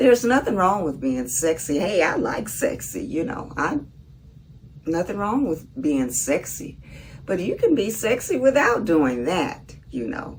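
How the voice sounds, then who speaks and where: A woman's medium-pitched voice in a Southern US accent, fairly slow, with very wide pitch swings and noticeable background noise. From US South, Mississippi. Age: 70s. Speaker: vlogger. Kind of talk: casual monologue.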